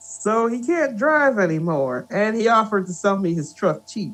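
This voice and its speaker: A man puts on a gruff character voice pitched high, with very wide pitch swings. He keeps a moderate pace. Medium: read story. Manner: gruff, awkward, hesitant.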